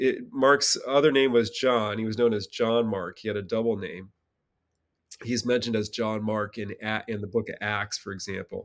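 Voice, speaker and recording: A man with an unremarkable speaking voice and an American accent, medium in pitch, at a moderate pace with fairly even intonation, on a very clean recording with a silent background. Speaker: theology professor. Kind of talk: interview.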